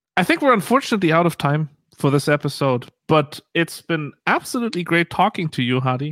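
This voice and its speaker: With a plain, everyday voice, a man speaks at a fairly quick pace in a fairly high pitch and lively intonation. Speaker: podcast host. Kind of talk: casual chat.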